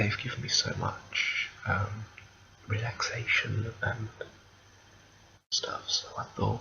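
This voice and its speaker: Someone whispers softly at a very slow pace with long, frequent pauses, over noticeable background noise. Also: man. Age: 20s. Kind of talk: ASMR whisper ramble to camera. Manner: whispered, soft-spoken.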